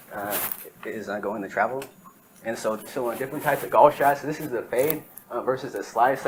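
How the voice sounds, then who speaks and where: Noticeable background noise sits behind a man's voice. He speaks at a medium pitch and a fairly quick pace. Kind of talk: class presentation. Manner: hesitant, many fillers.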